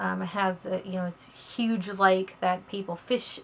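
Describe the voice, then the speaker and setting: Moderately paced, the talk comes in a Southern US accent. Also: woman. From US South, northern Alabama. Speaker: author. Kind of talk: casual self-introduction to camera. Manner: hesitant, many fillers and repeats.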